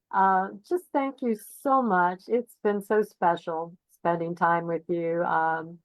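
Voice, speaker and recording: A woman speaks very slowly in a fairly low voice, with ordinary pitch variation. Her loudness stays very even throughout. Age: 70s. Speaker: spiritual guest. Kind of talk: interview conversation.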